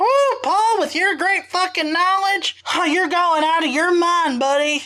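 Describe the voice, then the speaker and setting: An extremely high, put-on character voice delivers its lines in a Southern US accent as part of the act. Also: moderate pace. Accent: southern American. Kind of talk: casual, crude. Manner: mocking, incredulous.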